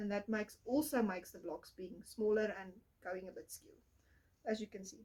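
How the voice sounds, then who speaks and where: A woman with a fairly high pitch speaks at a moderate pace, her voice somewhat breathy. Her pitch varies in an ordinary way while her loudness swings widely. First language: not English. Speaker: podcast host, crafter. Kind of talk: casual chat.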